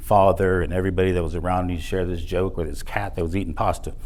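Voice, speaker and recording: With an American accent, a man speaks at a very deep, low pitch and fairly even intonation. Room echo can be heard. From South Texas border, Edinburg; later North Texas. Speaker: motivational speaker. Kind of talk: motivational speech. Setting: stage with audience.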